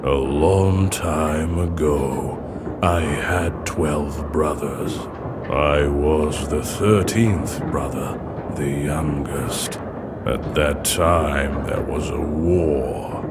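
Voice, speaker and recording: A man speaks very slowly in a put-on character voice. Loud background noise fills the clip. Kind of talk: dark fantasy game voice acting. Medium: machinima. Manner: eloquent, theatrical.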